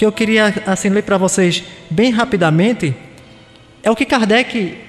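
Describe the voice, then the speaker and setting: Speaking at a fairly slow pace with long, frequent pauses, a man with a high pitch uses an animated tone and very even loudness over noticeable background noise. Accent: Pernambuco. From Pernambuco, northeast Brazil. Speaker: spiritist lecturer. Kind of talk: lecture. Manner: animated, rhetorical questions to audience.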